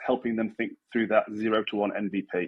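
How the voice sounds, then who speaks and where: A man talks at a moderate pace with a British accent. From UK. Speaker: chief design officer, tech guest. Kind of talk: interview.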